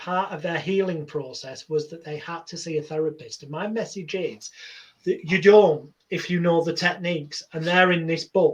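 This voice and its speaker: A man speaks in a Lancashire accent at a moderate pace. His pitch is high and his intonation fairly even. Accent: northern English (Lancashire). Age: 40s. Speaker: hypnotherapist. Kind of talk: interview.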